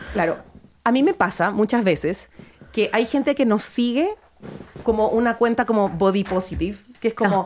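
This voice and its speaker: A woman speaks at a moderate pace with fairly high pitch and lively intonation. Noticeable background noise can be heard. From Ecuador, Guayaquil. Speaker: photographer and clothing store founder. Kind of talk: interview.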